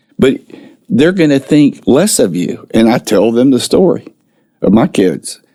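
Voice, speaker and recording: A man speaks at a fairly slow pace in a dark, mellow tone with vocal fry. His medium pitch swings very widely. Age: 60s. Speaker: mental health speaker and ministry founder. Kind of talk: podcast interview.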